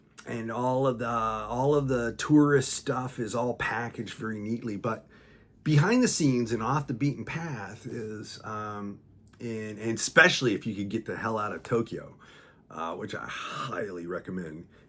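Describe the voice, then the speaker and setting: With an American accent, a man speaks at a moderate pace and medium pitch with ordinary pitch variation, in a very clean recording with a silent background. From United States. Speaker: US Navy veteran. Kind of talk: casual talk to camera. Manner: hesitant, rambling with many fillers.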